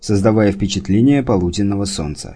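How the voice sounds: Throughout the recording, the speaker reads in a natural reading voice.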